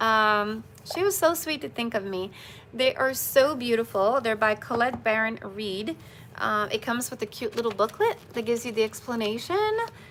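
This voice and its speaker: A woman with a non-native accent speaks in a fairly high voice with ordinary pitch variation. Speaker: spiritual bracelet seller and live streamer. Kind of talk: live stream chat. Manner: fast when excited.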